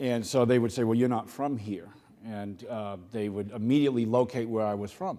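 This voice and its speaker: There is audible room echo around a man with a Boston accent. His medium-pitched voice has a dark, mellow tone. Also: ordinary pitch variation, fairly quick pace. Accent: Boston accent, noticeable. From Boston, Massachusetts. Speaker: keynote speaker, corporate executive. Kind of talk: keynote speech. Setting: conference stage with audience. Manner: halting, many fillers.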